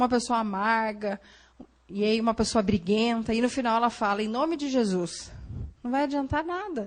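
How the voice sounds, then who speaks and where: Speaking in an unremarkable speaking voice, a woman has a fairly high pitch, lively intonation and a moderate pace. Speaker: psychologist giving a church talk. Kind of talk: lecture. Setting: church Sunday school class.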